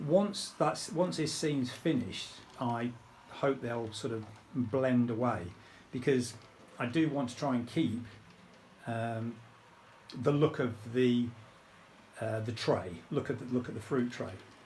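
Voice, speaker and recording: A man's somewhat breathy, fairly slow speech at medium pitch, with ordinary pitch variation, long, frequent pauses and audible room echo. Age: 60s. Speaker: model railway hobbyist. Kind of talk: casual video tutorial. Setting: home train room. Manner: hesitant, many ums.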